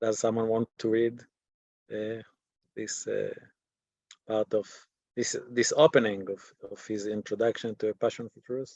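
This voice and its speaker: Speaking at a fairly slow pace, a man leaves long, frequent pauses and makes big swings in loudness. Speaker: teacher. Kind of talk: lecture. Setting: video call. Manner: halting.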